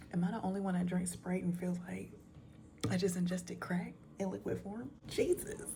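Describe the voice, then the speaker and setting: A woman whispering at a moderate pace, with audible room echo. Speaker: storytime YouTuber. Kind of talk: casual chat. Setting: at home at night.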